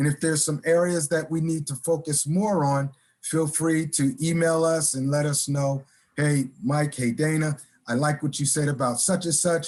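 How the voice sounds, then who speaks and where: A man's fairly high, somewhat breathy voice at a moderate pace, with very even loudness, fairly even intonation and a quiet background. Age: 60s. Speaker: career coach. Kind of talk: webinar presentation.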